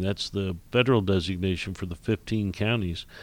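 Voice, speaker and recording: A man talks at a fairly quick pace. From Indiana, US Midwest. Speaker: commercial real estate executive and regional planning chairman. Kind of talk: radio interview. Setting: radio studio. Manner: halting, many fillers and repeats.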